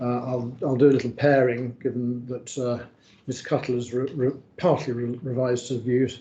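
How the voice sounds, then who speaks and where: A man speaks in a monotone, flat way. Noticeable background noise runs behind him. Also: medium pitch for a man, moderate pace. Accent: northern English. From northern England. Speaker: barrister. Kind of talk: legal inquiry discussion.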